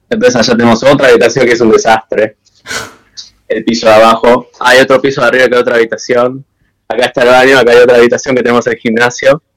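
A man's medium-pitched voice at a very fast pace, in a monotone, flat intonation. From Argentina, Buenos Aires. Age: 20s. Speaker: techno DJ. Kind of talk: casual interview chat. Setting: video call.

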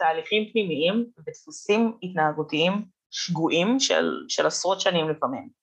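This woman's voice sits at a medium pitch. She keeps a moderate pace, and her intonation is lively. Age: 20s. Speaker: content creator and communications student. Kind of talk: podcast interview.

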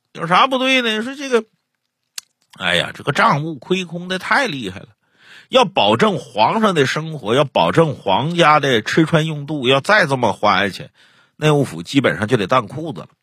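A man with a fairly high pitch, a bright, sharp tone, and vocal fry speaks at a moderate pace with very wide pitch swings. The recording is very clean with a silent background. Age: 40s. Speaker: storyteller podcast host. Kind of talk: casual chat; storytelling narration.

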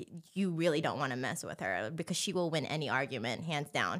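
Speaking with a Californian accent, a woman with a very deep, low pitch uses lively intonation and vocal fry. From Southern California, Anaheim. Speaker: circus performer. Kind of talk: casual chat. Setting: studio.

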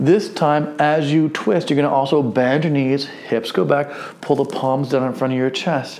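A man at a fairly high pitch and fairly slow pace, over noticeable background noise. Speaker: fitness instructor. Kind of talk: guided movement class, step-by-step exercise instruction. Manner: friendly and encouraging, lightly humorous.

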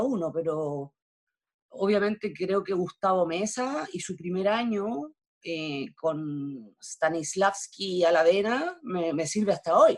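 A woman with a Chilean accent speaks with lively intonation. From Chile, Valparaíso. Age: 50s. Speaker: theatre actress. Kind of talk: interview conversation.

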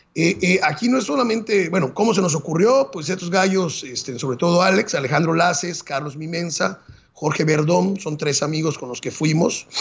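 Noticeable background noise behind a man with a high pitch, a moderate pace and ordinary pitch variation. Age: 40s. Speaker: marathon runner and Everest climber. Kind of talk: interview storytelling.

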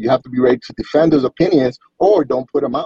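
Heard as a dry, close sound with no echo, a man with a medium pitch and an unremarkable speaking voice talks at a moderate pace. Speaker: gaming community member. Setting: outdoors on a mountain, video call.

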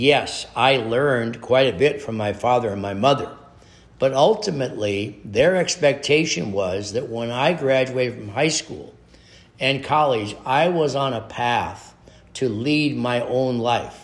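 This man speaks fairly slowly in an Upper Midwest accent, at a medium pitch with ordinary pitch variation. Room echo is audible. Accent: Upper Midwest American. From US Midwest, North Dakota. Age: 70s. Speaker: podcast host, motivational speaker. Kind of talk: motivational monologue.

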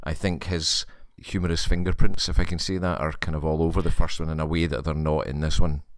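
Someone with a Scottish accent speaks at a fairly quick pace with fairly even intonation. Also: man. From Scotland. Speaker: podcast guest. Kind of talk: casual chat.

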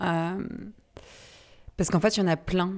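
Her intonation is monotone and flat, at a fairly low pitch for a woman. The recording is very clean, with a silent background. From Brittany, France. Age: 30s. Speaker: podcast host, founder of a women's empowerment association. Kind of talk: casual conversation / interview. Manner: halting, many hesitations and repetitions.

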